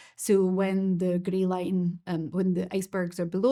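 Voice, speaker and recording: A woman with a Scottish accent and a dark, mellow tone speaks at a fairly slow pace in a monotone, flat delivery. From Scotland. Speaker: financial markets expert. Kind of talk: webinar presentation. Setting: online webinar.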